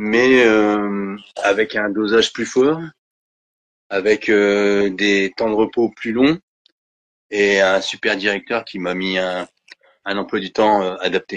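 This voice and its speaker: A man at a very slow pace with long, frequent pauses, fairly low in pitch, fairly even in intonation, the sound dry and close with no echo. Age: 50s. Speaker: Parkinson's patient sharing his story. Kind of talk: testimony. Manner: hesitant, many fillers and repetitions.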